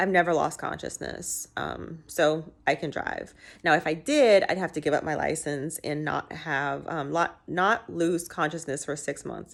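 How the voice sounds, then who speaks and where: On a very clean recording with a silent background, a woman with a very deep, low pitch and vocal fry talks at a fairly slow pace with fairly even intonation and hardly any pauses. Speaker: vlogger with epilepsy. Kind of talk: casual vlog. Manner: halting.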